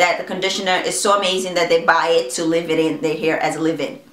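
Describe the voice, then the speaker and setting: A woman talks at a very fast pace with ordinary pitch variation. The room echo is audible and background noise is noticeable. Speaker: beauty vlogger. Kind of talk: product review vlog. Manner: casual, conversational.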